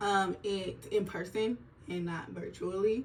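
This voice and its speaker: Noticeable background noise and audible room echo run through the clip. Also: woman. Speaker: nurse vlogger. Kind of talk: casual vlog monologue. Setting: filming at home on an iPad during skincare routine. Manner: slow; chatty, casual.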